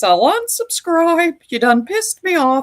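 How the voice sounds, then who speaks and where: A female-sounding put-on character voice is pitched extremely high. It swings very widely in pitch. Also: moderate pace. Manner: annoyed, sassy.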